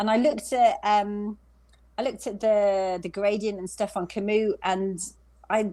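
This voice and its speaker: A woman with a West Midlands accent talks at a moderate pace. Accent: British, West Midlands. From England, West Midlands. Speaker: long-distance cyclist. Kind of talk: interview.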